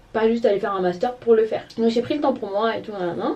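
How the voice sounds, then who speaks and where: Noticeable background noise is present. Over it, a woman talks with ordinary pitch variation. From Gabon. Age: 20s. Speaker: lifestyle vlogger. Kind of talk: casual talk to camera.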